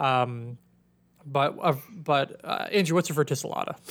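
A man speaks with ordinary pitch variation. He has an ordinary speaking voice. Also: very clean recording, silent background. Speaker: ophthalmology podcast host. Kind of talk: educational podcast discussion. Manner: casual, conversational.

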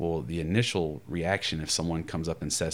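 Speaking very fast in a very deep, low pitch, a man with an American accent shows vocal fry. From US South. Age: 30s. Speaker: pastoral counselor. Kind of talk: casual chat.

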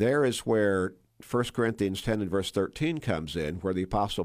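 An unremarkable speaking voice from a man with an American accent, fairly low in pitch, at a moderate pace with ordinary pitch variation, on a very clean recording with a silent background. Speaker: church pastor. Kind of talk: Bible discussion interview. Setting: radio studio.

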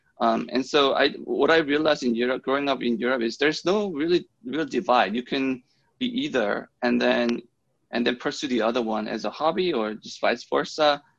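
A man speaks at a moderate pace with a medium pitch, ordinary pitch variation and vocal fry. The background is quiet. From Germany. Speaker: engineer and program manager. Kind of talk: interview. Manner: halting, many fillers and repeated words.

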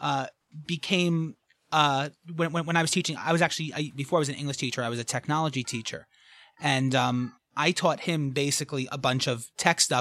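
The speaker talks at a fairly quick pace with a New York accent. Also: very clean recording, silent background. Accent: New York, thick. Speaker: escape room game designer. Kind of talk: casual chat.

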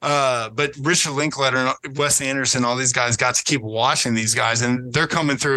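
This man's voice sits at a medium pitch with a bright, sharp tone. His pitch varies in an ordinary way. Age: 30s. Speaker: podcast guest, 90s film fan. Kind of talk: casual chat.

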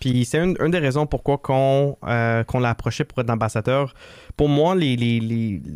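A man speaks in a normal speaking voice at medium pitch and a moderate pace, with ordinary pitch variation and very even loudness, recorded very cleanly against a silent background with a dry, close sound and no echo. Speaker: assistance dog foundation co-founder. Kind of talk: interview.

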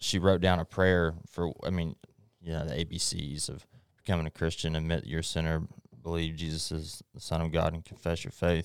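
A man with a Texan accent, very deep and low in pitch, monotone and flat in intonation, at a fairly quick pace, in a very clean recording with a silent background. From East Texas. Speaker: guest. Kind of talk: testimony.

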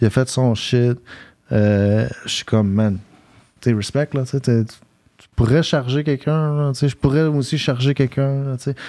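The voice has a dark, mellow tone, ordinary pitch variation and a fairly slow pace. Long, frequent pauses and big swings in loudness mark the delivery. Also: man, medium pitch for a man. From South Shore of Montreal, Quebec. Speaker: rapper and battle MC. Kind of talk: casual chat.

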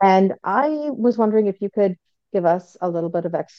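A woman speaks at a fairly slow pace. Hers is an unremarkable speaking voice, medium in pitch. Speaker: participant asking questions. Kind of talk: casual Q&A. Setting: group call.

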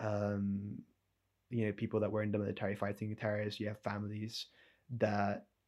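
A man with a fairly low pitch talks at a moderate pace. The recording is very clean, with a silent background. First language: not English. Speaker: podcast co-host. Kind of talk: conversational discussion.

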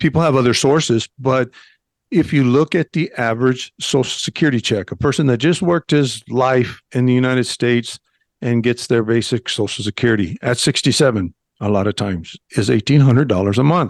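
A man with an American accent speaks at a fairly quick pace with ordinary pitch variation and very even loudness, in a dry, close sound with no echo. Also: medium pitch for a man, quiet background. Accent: Mexican American English. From northern Mexico. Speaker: retired federal agent, expat YouTuber. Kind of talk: radio interview.

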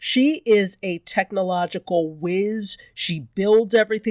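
Recorded very cleanly against a silent background, with a dry, close sound and no echo, a woman speaks at a medium pitch with ordinary pitch variation in a plain, everyday voice. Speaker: podcast co-host. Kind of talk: casual chat.

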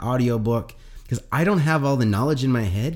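On a very clean recording with a silent background, a man with a Canadian accent speaks fairly quickly in a normal speaking voice at a medium pitch. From Atlantic Canada. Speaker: sales coach. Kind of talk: casual interview.

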